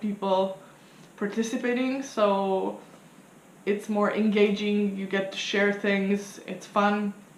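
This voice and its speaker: With audible room echo, a woman of medium pitch speaks at a very slow pace. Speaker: tarot reader and vlogger. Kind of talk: casual vlog explaining a study challenge. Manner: hesitant, many fillers.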